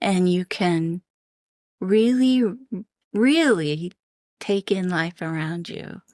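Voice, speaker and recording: In a very clean recording with a silent background and a dry, close sound with no echo, a woman speaks at a very slow pace with ordinary pitch variation. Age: 70s. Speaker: non-profit program leader. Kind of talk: interview.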